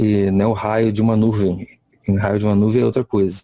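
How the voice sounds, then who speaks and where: Dry and close with no echo, the voice has a dark, mellow tone and a monotone, flat intonation. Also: man. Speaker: lecturer. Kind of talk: lecture. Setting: video call. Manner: halting.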